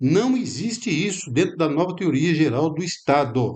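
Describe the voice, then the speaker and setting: This man's voice sits fairly high and moves through very wide pitch swings. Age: 70s. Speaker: lecturer. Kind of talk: lecture. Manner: halting.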